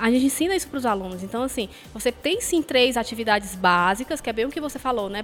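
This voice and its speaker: A woman talks at a very fast pace. Her fairly high pitch shows ordinary pitch variation. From Fortaleza, Ceará, Brazil. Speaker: university professor. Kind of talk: casual chat. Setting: stage with audience.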